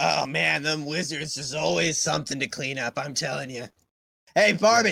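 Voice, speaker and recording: A man puts on a raspy character voice. His pitch sits fairly high, and he speaks at a moderate pace. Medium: actual play. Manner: casual, chummy.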